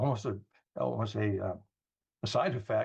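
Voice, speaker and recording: In an American accent, a man speaks at a fairly low pitch and sounds somewhat breathy. The background is quiet. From New York. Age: 70s. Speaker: wellness product distributor. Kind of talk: product presentation on a group call.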